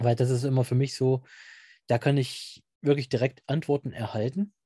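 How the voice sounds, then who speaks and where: A man speaks at medium pitch and a moderate pace, somewhat breathy, with a dark, mellow tone and fairly even intonation. The sound is dry and close with no echo, over a quiet background. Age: 30s. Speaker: amateur paranormal investigator. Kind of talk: interview.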